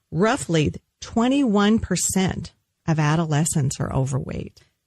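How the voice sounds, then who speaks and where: A woman speaks at a fairly low pitch, somewhat breathy and fairly slow. Her pitch swings very widely. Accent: American. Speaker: dietitian. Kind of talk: radio nutrition talk show. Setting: studio.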